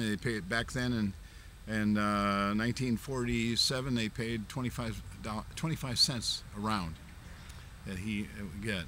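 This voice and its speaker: This man's fairly low voice, with normal pitch movement, proceeds at a moderate pace amid noticeable background noise. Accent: American. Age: 70s. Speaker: martial arts master. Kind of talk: interview. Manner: halting, many fillers.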